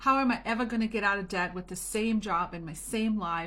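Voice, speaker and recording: A woman's fairly high, bright, sharp voice with lively intonation at a moderate pace. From Germany. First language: German or Italian. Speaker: home business coach. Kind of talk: motivational talk to camera. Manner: casual, chatty.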